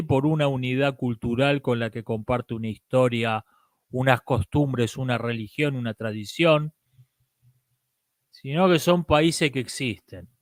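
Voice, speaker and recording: A man with a strong Argentine accent talks at a fairly slow pace, the sound dry and close with no echo. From Argentina. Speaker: philosophy commentator. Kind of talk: live-stream talk.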